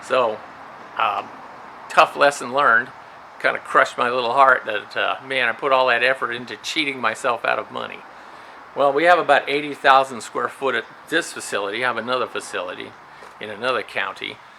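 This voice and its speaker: Over noticeable background noise, a man with a medium-pitched voice talks at a fairly quick pace with fairly even intonation and long, frequent pauses. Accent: American. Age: 60s. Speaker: retired prison guard and storage facility owner. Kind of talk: casual vlog monologue.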